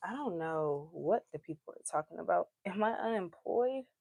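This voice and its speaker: With an American accent, a woman with fairly low pitch talks at a fairly slow pace using very wide pitch swings, in a dry, close sound with no echo. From Georgia, US. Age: 20s. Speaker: live streamer. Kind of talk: casual chat. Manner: loud.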